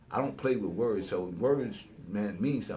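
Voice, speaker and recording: With a somewhat breathy quality, a man talks at a medium pitch with ordinary pitch variation, and audible room echo is present. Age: 60s. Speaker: hip-hop elder. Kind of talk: casual chat. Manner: animated.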